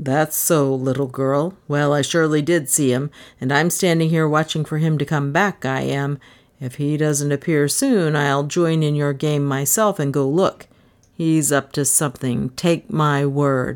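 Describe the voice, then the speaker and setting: Putting on a character voice, a woman speaks at a moderate pace with a very deep, low pitch and fairly even intonation. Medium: read story. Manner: blunt, folksy, self-assured.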